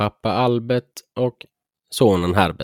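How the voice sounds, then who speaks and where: A man at a very slow pace. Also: dry, close sound with no echo. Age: 20s. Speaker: podcast host. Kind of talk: casual chat.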